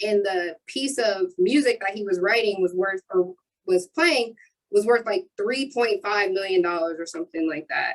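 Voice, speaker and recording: In an American accent, a woman with an ordinary speaking voice, medium pitch and lively intonation talks at a moderate pace in a dry, close sound with no echo. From Ohio (Marion). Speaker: youth mentoring business owner. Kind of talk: panel discussion.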